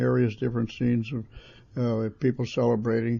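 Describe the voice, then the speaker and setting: Somewhat breathy and very fast, a man of medium pitch speaks with an American accent. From California, USA. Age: 80s+. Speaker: World War II veteran and photographer. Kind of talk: interview answer. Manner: hesitant, many fillers.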